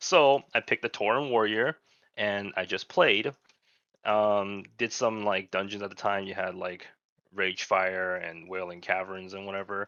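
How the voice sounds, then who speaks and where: A man with a Chinese accent speaks at a moderate pace and fairly low pitch, his fairly even intonation paired with big swings in loudness, in a dry, close sound with no echo. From China. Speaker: podcast co-host, gamer. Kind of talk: casual chat.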